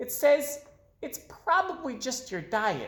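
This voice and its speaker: This put-on character voice is squeaky and high, swinging very widely in pitch at a fairly slow pace. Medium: read story. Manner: stammering.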